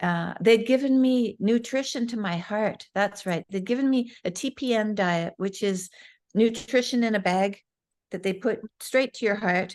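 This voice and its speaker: Over a quiet background, a normal speaking voice moves at a fairly slow pace with ordinary pitch variation. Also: woman, fairly high pitch for a woman. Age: 60s. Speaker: guest, mother. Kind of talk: interview answer. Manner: candid, conversational.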